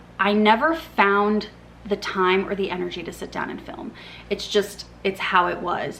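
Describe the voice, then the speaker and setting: A woman talks at a moderate pace and a medium pitch. Her loudness swings widely over noticeable background noise. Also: ordinary pitch variation. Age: 30s. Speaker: book content creator. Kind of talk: casual vlog chat. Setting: filming at home in living room.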